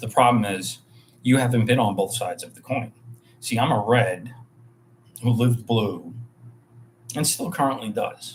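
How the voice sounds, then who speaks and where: In a New York accent, a man speaks at a moderate pace and medium pitch, somewhat breathy. His pitch varies in an ordinary way, with long, frequent pauses. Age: 40s. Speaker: bartender and hotel worker. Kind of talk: livestream monologue. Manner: casual, rambling with fillers.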